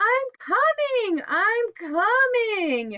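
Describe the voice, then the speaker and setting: A woman's put-on character voice, extremely high in pitch, with very wide pitch swings. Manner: wailing, slow.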